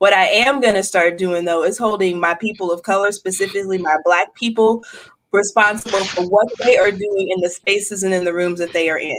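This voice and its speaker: A woman's plain, everyday voice at a medium pitch, with fairly even intonation and a fairly quick pace. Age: 40s. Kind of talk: podcast conversation.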